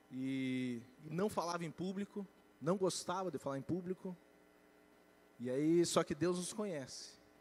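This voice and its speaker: A man's high-pitched voice broken by long, frequent pauses. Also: ordinary pitch variation, fairly slow pace. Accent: Curitiba. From Curitiba, southern Brazil. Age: young. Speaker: financial education speaker. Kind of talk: church talk on personal finance.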